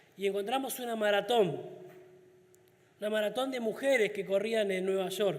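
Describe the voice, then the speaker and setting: The speaker talks at a moderate pace with fairly even intonation and long, frequent pauses, and the room echo is audible. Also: man, high pitch for a man. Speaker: deacon preacher. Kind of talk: sermon.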